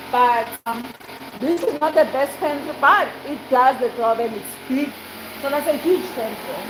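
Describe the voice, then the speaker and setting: High-pitched, animated woman at a fairly slow pace with ordinary pitch variation, over noticeable background noise. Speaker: vlogger. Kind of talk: casual vlog house tour.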